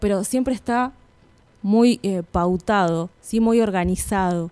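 This is a woman with an ordinary speaking voice. Her pitch is medium, with ordinary variation. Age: 30s. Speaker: primary school teacher. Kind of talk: radio interview.

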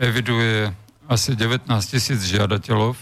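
This is a man with an unremarkable speaking voice. His pitch sits in the medium range. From Slovakia. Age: 60s. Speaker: former agriculture minister. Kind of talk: radio interview. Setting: studio.

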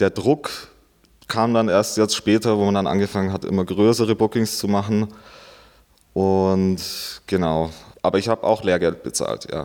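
A man's fairly low voice at a moderate pace, fairly even in intonation, with long, frequent pauses, in a very clean recording with a silent background. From Bavarian Swabia, rural Augsburg district. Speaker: DJ and event promoter. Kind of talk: interview. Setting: club venue.

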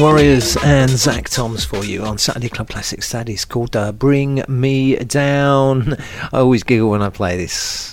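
Here is a man with an ordinary speaking voice. His pitch is medium and his pace fairly slow. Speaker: radio dj. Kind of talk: radio dj patter introducing tracks. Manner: relaxed, casual, filler-laden.

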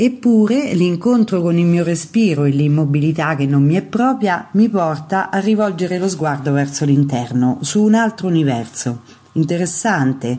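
Speaking at a moderate pace, a woman uses lively intonation in a very deep, low voice. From central Italy, Terni (Umbria). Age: 60s. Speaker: Zen teacher.

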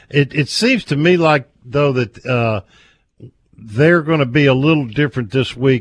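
A plain, everyday voice speaks at a moderate pace with ordinary pitch variation, the sound dry and close with no echo against a quiet background. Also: man. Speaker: radio host. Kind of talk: radio sports talk show.

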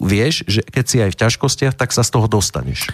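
With an ordinary speaking voice, a man talks at a moderate pace and medium pitch, his pitch varying in an ordinary way, in a dry, close sound with no echo. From Slovakia, Prievidza. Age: 40s. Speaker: politician and writer. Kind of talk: interview.

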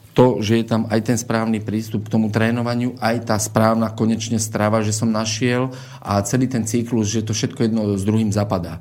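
Audible room echo surrounds a man's voice at a medium pitch. He speaks at a moderate pace in a monotone, flat way. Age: 30s. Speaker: martial arts coach. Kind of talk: radio interview.

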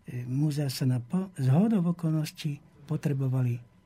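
Somewhat breathy, with a dark, mellow tone, a man speaks at a fairly high pitch with fairly even intonation. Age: 70s. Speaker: historian. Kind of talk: interview.

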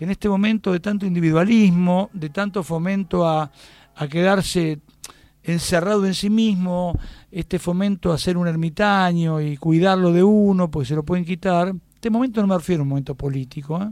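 Speaking at a moderate pace, a man uses a high pitch with ordinary pitch variation and a dark, mellow tone. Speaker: theatre director and writer. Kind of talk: interview.

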